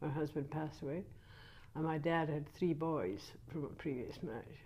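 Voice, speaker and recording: A woman with a very deep, low voice speaks at a moderate pace with ordinary pitch variation, and audible room echo surrounds her. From Scotland, Ayrshire (Troon). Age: 70s. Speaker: grandmother interviewed by grandchild. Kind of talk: casual family interview. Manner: halting, with frequent hesitations.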